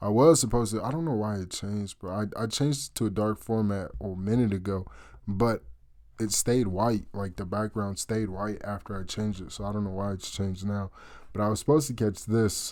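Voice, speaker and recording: The recording is very clean, with a silent background. A man talks at a fairly quick pace, his fairly low pitch varying in an ordinary way. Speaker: amateur forex trader, YouTuber. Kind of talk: casual screen-share trade breakdown. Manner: animated, halting with repeats; loud. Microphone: cheap USB snowball mic.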